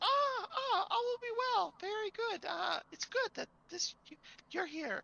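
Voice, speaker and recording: Putting on a squeaky character voice, a man speaks at a moderate pace with an extremely high pitch. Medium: actual play. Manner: nervous, stammering, repeats all will be well.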